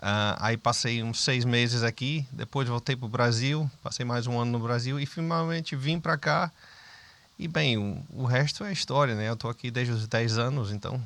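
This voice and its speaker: A man in a northeastern Brazilian accent, medium pitch, moderate pace, ordinary pitch variation. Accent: Brazilian northeastern accent, kept. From Brazil, Northeast (Sergipe, Aracaju). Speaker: businessman. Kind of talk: interview conversation.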